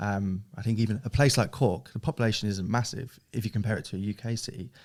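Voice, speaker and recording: Over a very clean recording with a silent background, a man with a southern English accent speaks very fast at a fairly low pitch with ordinary pitch variation. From southern England (Hastings, East Sussex). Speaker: e-commerce director of a family business. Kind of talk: podcast interview. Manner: casual, with fillers and repetitions.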